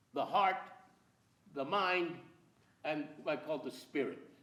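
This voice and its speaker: A man's high voice in an American accent, fairly slow, with ordinary pitch variation and audible room echo. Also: long, frequent pauses. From California (Central Valley, farmworker family). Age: 80s+. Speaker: playwright and filmmaker. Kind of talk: lecture with slides. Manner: animated.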